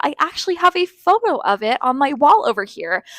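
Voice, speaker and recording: A woman with an American accent speaks at a high pitch and a fairly quick pace in an animated tone, with dry, close sound and no echo. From Southern California. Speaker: high school English teacher. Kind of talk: interview. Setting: classroom.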